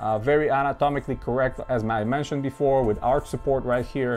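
Faint music plays behind while a man talks. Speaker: sneaker collector reviewer. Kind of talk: casual product review chat. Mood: enthusiastic, relaxed. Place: home room.

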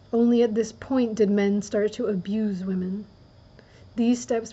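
Soft-spoken and somewhat breathy, a woman talks at a moderate pace. Her pitch is medium and her intonation fairly even. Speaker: reader. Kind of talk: audiobook-style reading of a nonfiction book, ASMR. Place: home room.

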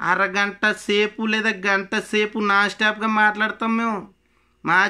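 Against a quiet background, a man uses a raised, projected voice with a high pitch and a bright, sharp tone. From Konaseema, Andhra Pradesh; Andhra Pradesh. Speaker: political party supporter. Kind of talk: angry political rant to camera. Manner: animated. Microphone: phone near.

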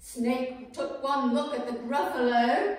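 A woman's voice with strong room echo. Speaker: storyteller. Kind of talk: children's story reading. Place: home room. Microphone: camera far.

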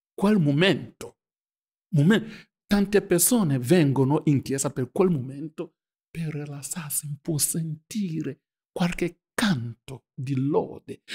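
In a very clean recording with a silent background and a dry, close sound with no echo, a man speaks with a non-native accent and ordinary pitch variation. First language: not Italian (speaking Italian). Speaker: pastor. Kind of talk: group Bible study discussion.

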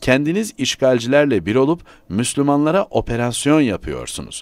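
Using an ordinary speaking voice, a man talks at a moderate pace with lively intonation on a very clean recording with a silent background. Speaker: newspaper columnist. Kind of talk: reading aloud.

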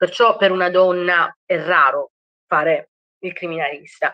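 Over a quiet background, the voice comes across bright and sharp in tone at a fairly slow pace, with a dry sound and no echo. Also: woman. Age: 30s. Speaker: criminologist; criminology guest lecturer. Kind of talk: lecture. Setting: video call. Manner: halting. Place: home room. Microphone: webcam.

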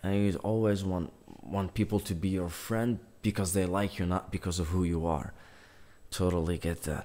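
The voice has a dark, mellow tone, very even loudness, fairly even intonation and a moderate pace. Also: man, very deep, low pitch for a man. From North Africa. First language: Algerian Arabic. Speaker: YouTuber. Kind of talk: casual chat. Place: home room.

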